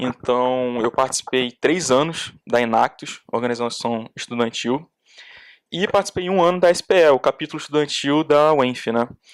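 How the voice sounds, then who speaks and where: At a moderate pace, a man speaks in a normal speaking voice of medium pitch with ordinary pitch variation, in a dry, close sound with no echo on a very clean recording with a silent background. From Brazil, Duque de Caxias (Rio de Janeiro state). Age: 20s. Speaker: petroleum engineering student. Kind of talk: podcast interview.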